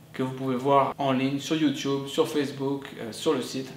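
The pace of speech is fairly slow. Audible room echo and light background noise are present. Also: man. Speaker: online business vlogger. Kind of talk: vlog monologue. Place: home room.

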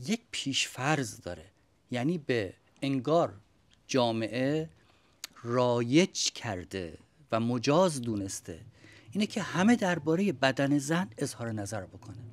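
A man at a very slow pace, with long, frequent pauses and very wide pitch swings. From Iran. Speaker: religious studies scholar. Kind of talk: panel debate. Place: home room.

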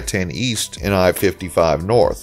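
Over background music, a man talks with lively intonation. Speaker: travel channel narrator. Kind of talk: documentary narration.

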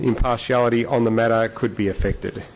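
At a fairly quick pace, a man delivers his words. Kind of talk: formal reading of disclosures. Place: hall. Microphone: podium.

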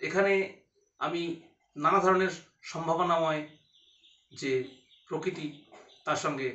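In a room with audible echo, a man speaks at a high pitch with fairly even intonation. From West Bengal, Katwa; West Bengal. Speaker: blind graduate student. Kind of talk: personal testimony monologue. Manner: halting, many pauses. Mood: calm, reflective. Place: home room. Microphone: phone near.

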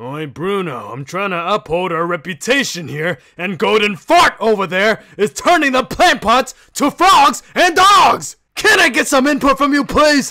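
Using a put-on character voice, a man speaks fairly slowly at a high pitch, his tone bright and sharp, his intonation lively, with few pauses.

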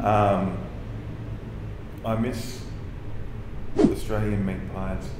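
Very slow speech with audible room echo and loud background noise. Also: man. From Australia. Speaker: interviewee. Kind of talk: interview answer. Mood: relaxed, good-humoured. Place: home room.

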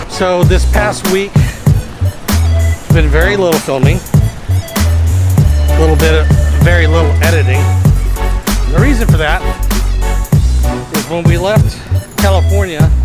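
Loud music plays in the background as a man speaks at a fairly slow pace with long, frequent pauses. The sound is dry, with no echo. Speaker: truck driver vlogger. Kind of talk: casual vlog chat. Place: street. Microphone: phone near.

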